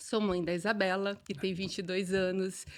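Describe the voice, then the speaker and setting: On a very clean recording with a silent background, a woman speaks at a fairly slow pace and medium pitch. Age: 40s. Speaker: business owner. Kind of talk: podcast interview.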